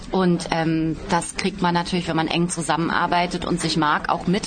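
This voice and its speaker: A woman's fairly low voice at a fairly quick pace, with music in the background. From Baden-Baden, southwest Germany. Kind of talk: interview. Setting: outdoors.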